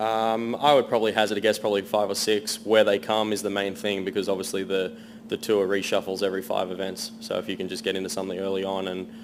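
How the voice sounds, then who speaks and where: A man with an American accent talks very fast in a monotone, flat intonation at a fairly low pitch, hardly pausing, over noticeable background noise. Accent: Australian with a slight American twang. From Sydney, Australia. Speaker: professional golfer. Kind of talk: press conference. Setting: media centre press conference.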